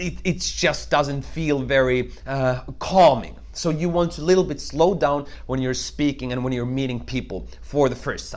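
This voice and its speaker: There is audible room echo as a man talks with hardly any pauses. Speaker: network marketing trainer. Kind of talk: tutorial. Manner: fast.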